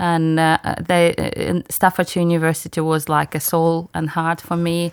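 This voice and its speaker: Over a silent background in a very clean recording, a woman speaks at a moderate pace in a fairly low, monotone, flat voice. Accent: non-native. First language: not English. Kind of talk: interview. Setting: studio. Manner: halting.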